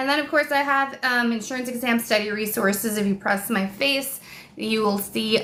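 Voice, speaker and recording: She speaks at a moderate pace with ordinary pitch variation. Noticeable background noise can be heard. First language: Spanish. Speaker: online exam tutor. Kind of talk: live stream chat and course pitch. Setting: live stream. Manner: animated.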